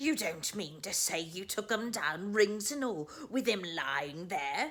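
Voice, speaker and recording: In a put-on character voice that sounds female, the speaker uses a middle pitch and a fairly slow pace. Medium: read story. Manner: wheedling, shrewd.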